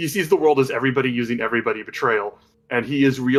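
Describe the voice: Someone reads aloud in a plain way.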